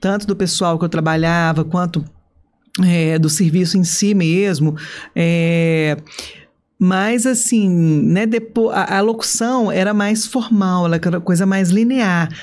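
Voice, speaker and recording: A woman speaks at a very slow pace and a medium pitch. Her loudness stays very even, and her pitch varies an ordinary amount. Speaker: stadium announcer. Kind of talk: podcast interview answer. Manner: enthusiastic, chatty.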